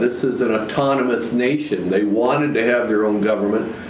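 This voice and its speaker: A man speaks through noticeable background noise and audible room echo. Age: 60s. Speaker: video blogger. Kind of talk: impassioned monologue. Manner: emphatic.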